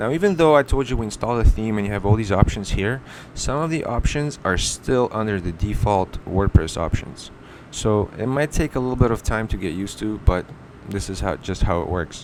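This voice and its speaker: A man's normal speaking voice, fairly low in pitch, with lively intonation at a fairly quick pace. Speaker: web design tutorial maker. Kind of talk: screen-recorded tutorial. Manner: casual, with self-corrections.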